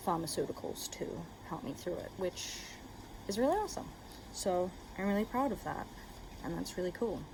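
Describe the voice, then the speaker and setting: A woman talks at a fairly quick pace but leaves long, frequent pauses. There is noticeable background noise. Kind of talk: casual talk to camera. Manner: rambling.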